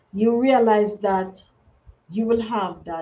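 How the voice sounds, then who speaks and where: The speaker is a woman with a somewhat breathy voice. Her pitch is fairly high. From Jamaica. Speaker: conservation livestreamer. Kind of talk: live stream talk. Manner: halting, repeats words.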